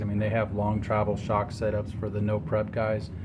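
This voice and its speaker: Male speech pitched fairly low, moderate in pace, with audible echo from the room. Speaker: amateur drag racer and car builder. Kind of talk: DIY garage tutorial. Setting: outdoors at home garage. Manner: monotone.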